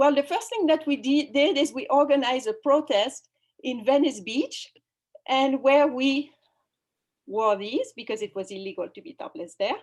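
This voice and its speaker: A woman with a French accent, high-pitched, at a moderate pace, with lively intonation and big swings in loudness. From France. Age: 50s. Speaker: activist and spiritual guide. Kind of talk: online summit talk. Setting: video call. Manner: halting.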